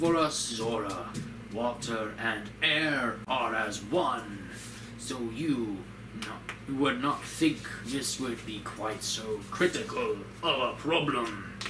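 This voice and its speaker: In a put-on character voice, a man of medium pitch speaks very slowly against loud background noise. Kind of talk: formal, archaic game dialogue. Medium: game stream. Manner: stately, deliberate.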